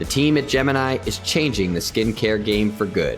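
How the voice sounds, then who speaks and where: A man talks at a moderate pace with very wide pitch swings while music plays in the background. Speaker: podcast host. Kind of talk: sponsor read and podcast intro.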